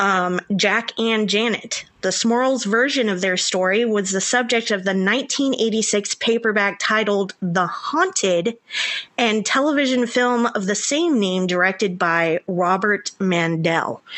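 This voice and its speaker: Over noticeable background noise, a woman talks at a fairly slow pace with a medium pitch, very even loudness and ordinary pitch variation. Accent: American. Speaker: podcast co-host. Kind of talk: reading case summary; casual podcast chat. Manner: deliberately professional delivery.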